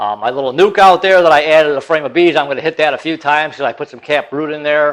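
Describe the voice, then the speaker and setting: Against a quiet background, a man with fairly high pitch and ordinary pitch variation speaks at a very fast pace. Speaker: YouTuber and hobby farmer / beekeeper. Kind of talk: casual tutorial vlog. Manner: casual, halting.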